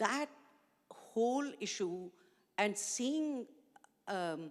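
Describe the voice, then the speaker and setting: Speaking very slowly in a Pakistani accent, a woman uses a fairly high pitch that swings very widely. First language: Urdu. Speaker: education NGO founder. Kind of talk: panel discussion.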